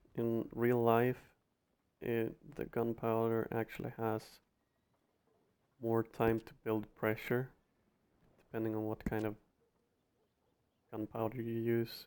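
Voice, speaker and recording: In a non-native accent, a man speaks very slowly and in a flat monotone, with long, frequent pauses. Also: medium pitch for a man. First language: not English. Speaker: gaming video creator. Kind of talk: gameplay commentary narration. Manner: halting, many repeated words.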